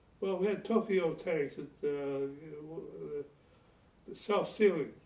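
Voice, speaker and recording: A man keeps a moderate pace and ordinary pitch variation while noticeable background noise plays. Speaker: retired air force colonel, WWII bomber pilot. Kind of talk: interview answer. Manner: hesitant, halting.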